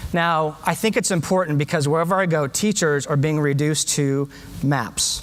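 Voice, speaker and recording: Ordinary pitch variation and a moderate pace mark this voice with an American accent. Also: man. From US, San Diego. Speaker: education speaker, former teacher. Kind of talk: conference talk. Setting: stage with audience. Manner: animated.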